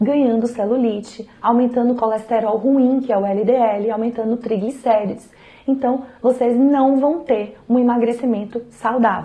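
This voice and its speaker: A woman's monotone, flat intonation comes at a very even loudness amid noticeable background noise. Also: moderate pace. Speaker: nutrition professional. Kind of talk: health advice talk to camera.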